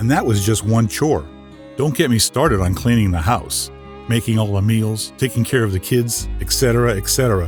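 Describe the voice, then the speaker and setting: A man with an American accent talks at a moderate pace with lively intonation. His pitch is fairly low, and music plays in the background. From Northeast Pennsylvania. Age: 60s. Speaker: voice actor. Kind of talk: personal history narration. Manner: folksy, conversational.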